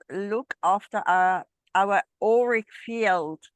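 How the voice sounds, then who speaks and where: A woman's medium-pitched voice, with fairly even intonation, comes through a dry, close sound with no echo. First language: Italian. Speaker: medical astrologer. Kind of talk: casual chat. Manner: halting.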